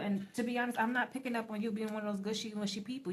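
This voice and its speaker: Woman with a fairly high pitch and fairly even intonation over noticeable background noise. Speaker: tarot reader. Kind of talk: tarot reading. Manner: fast.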